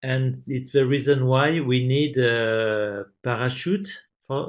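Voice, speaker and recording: Speaking with a French accent, a man uses a medium pitch with ordinary pitch variation. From France. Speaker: science teacher. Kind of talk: webinar presentation. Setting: online webinar. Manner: hesitant, many fillers.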